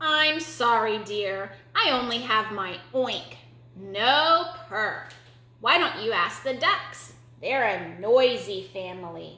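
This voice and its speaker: In a put-on character voice, a woman speaks at a fairly high pitch and a very slow pace. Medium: read story.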